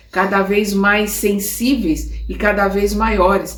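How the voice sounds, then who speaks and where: With music in the background, a woman speaks at a very slow pace. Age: 70s. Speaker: spiritist study teacher. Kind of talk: lecture. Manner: halting with repetitions.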